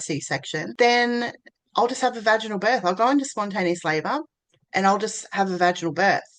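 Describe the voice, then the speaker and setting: A woman with an Australian accent speaks at a fairly quick pace with lively intonation. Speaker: birth doula and VBAC mentor. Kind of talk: personal story to camera. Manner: casual, conversational.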